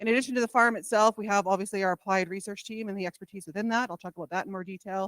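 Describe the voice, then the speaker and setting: A woman races along at a very fast pace with hardly any pauses and big swings in loudness, the sound dry and close without echo. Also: medium pitch for a woman, fairly even intonation. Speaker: college research vice president. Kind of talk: conference presentation.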